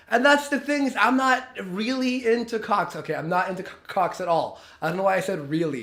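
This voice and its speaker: Fairly quick, animated delivery with hardly any pauses, lively intonation and a bright, sharp tone, plus audible room echo. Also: man, high pitch for a man. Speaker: streamer reacting to a video. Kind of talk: reaction commentary.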